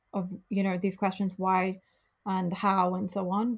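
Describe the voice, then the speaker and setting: A woman with a British accent speaks fairly slowly at medium pitch in a very clean recording with a silent background. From UK. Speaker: travel company founder. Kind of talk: interview.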